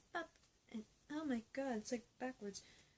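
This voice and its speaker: A soft-spoken, somewhat breathy woman's voice with lively intonation. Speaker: YouTuber reacting to TV episodes. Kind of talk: reaction rant, casual vlog. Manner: soft-spoken, a little quiet; hesitant, many fillers.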